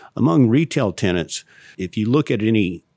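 Recorded very cleanly against a silent background, a man speaks at a moderate pace in a dry, close sound with no echo. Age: 50s. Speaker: real estate lawyer. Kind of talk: interview.

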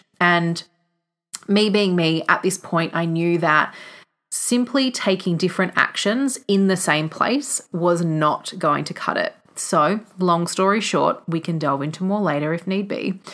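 In a very clean recording with a silent background, a woman with an Australian accent speaks fairly slowly, her fairly low voice showing ordinary pitch variation. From Australia, country Victoria. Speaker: podcast host and visionary coach. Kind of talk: solo podcast monologue.

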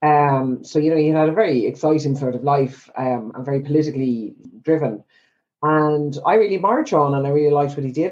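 In an Irish accent, a woman with a very deep, low pitch speaks at a very fast pace. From Ireland. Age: 50s. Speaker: psychotherapist. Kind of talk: casual interview.

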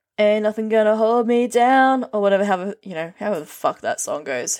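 A woman with an Australian accent speaks at a fairly quick pace and a fairly high pitch. Her intonation is lively, and the recording is very clean with a silent background. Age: 30s. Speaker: streamer and podcaster. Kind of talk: casual monologue. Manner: rambling, many ums and ahs.

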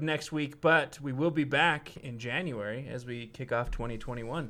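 Recorded very cleanly over a silent background, a man speaks at a medium pitch in a normal speaking voice. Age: 20s. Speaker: podcast co-host. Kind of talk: casual chat; reading aloud.

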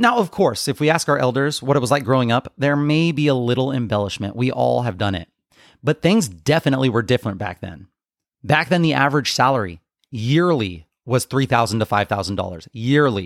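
A plain, everyday voice from a man of medium pitch, fairly quick and lively in intonation, on a very clean recording with a silent background and a dry, close sound with no echo. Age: 30s. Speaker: fitness coach and podcast host. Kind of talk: solo podcast monologue.

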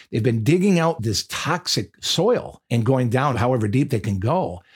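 In a very clean recording with a silent background, a man with an American accent speaks at a moderate pace and medium pitch, somewhat breathy, with lively intonation. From Michigan. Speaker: pastor. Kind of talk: podcast sermon monologue.

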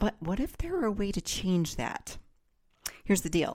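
A woman's ordinary speaking voice at a fairly quick pace, on a very clean recording with a silent background. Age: 50s. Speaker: podcast host. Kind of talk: self-help monologue.

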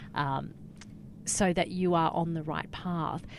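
A woman speaks at a very deep, low pitch with an Australian accent. Her intonation is monotone and flat. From Australia, Cairns, Queensland. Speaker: communications consultant, former journalist. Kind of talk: interview. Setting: studio.

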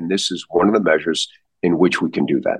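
A man with an American accent and a very deep, low pitch talks at a fairly quick pace. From US Midwest, St. Louis. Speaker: neurosurgeon. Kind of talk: interview. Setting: podcast.

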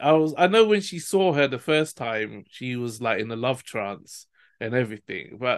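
An unremarkable speaking voice goes at a moderate pace. The background is quiet. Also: man. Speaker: podcast host. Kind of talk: casual chat.

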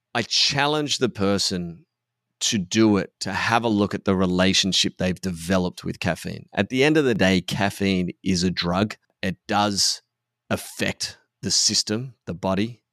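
A fairly low-pitched man with an Australian accent at a fairly slow pace, with ordinary pitch variation, in a dry, close sound with no echo and a very clean recording with a silent background. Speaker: podcast host and men's coach. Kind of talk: casual chat. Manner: subdued.

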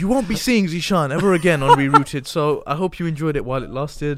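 Here is a man with a normal speaking voice and a fairly high pitch. He talks at a fairly quick pace with ordinary pitch variation. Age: 20s. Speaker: podcast host. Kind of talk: casual chat.

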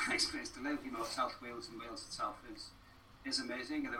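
A man talking very fast amid audible room echo and noticeable background noise. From northeast England (Wallsend, Tyneside). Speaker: arts participation producer. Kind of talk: casual interview.

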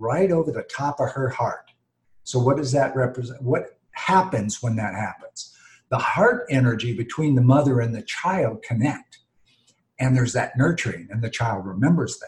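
A man with an American accent speaks at a moderate pace in a somewhat breathy, medium-pitched voice with ordinary pitch variation. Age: 60s. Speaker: behavior coach and author. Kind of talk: interview. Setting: video call. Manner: animated.

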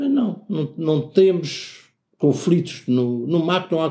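Here a man talks at a very slow pace. His intonation is lively. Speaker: art gallery owner and former teacher. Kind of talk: interview. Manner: halting, with many repetitions and fillers.

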